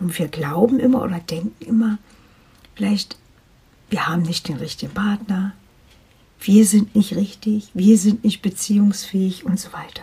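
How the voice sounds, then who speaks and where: At a moderate pace, a woman with a medium pitch and ordinary pitch variation sounds somewhat breathy, with big swings in loudness and long, frequent pauses. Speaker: life coach podcaster. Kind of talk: personal testimony monologue.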